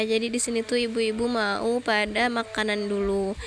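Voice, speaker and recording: Noticeable background noise surrounds a woman speaking with monotone, flat intonation. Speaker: mother. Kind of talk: casual day-in-my-life vlog narration.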